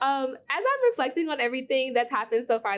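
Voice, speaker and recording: Speaking fairly quickly, a woman talks with an American accent. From Milwaukee, Wisconsin. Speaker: teacher. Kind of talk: recorded testimony.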